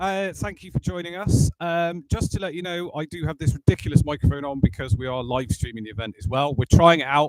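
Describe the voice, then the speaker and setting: A fairly quick West Country accent with very wide pitch swings, big jumps in loudness, and a dry, close sound free of echo. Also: man. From Bristol, England. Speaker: sales director presenting a workshop. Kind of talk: workshop presentation to live audience. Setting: auditorium with live audience, live streamed. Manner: loud, projecting without a microphone; casual, jokey.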